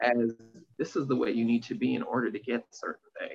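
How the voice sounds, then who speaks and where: A man at a moderate pace. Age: 30s. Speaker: life and career coach. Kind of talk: casual chat.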